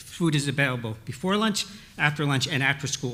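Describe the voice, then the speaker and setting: A man talks very fast in a fairly high voice with a bright, sharp tone. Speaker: retired school principal, panelist. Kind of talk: panel discussion. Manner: halting.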